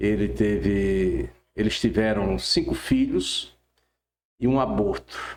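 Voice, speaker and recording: At a very slow pace, a man talks with long, frequent pauses. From Brazil, Rio Grande do Norte (Caicó, Seridó). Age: 70s. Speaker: pastor. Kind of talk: testimony.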